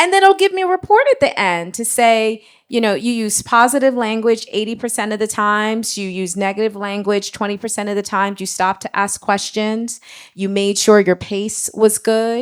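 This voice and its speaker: A woman's ordinary speaking voice, fairly high in pitch with ordinary pitch variation, at a moderate pace on a very clean recording with a silent background. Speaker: marketing leader. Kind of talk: panel discussion.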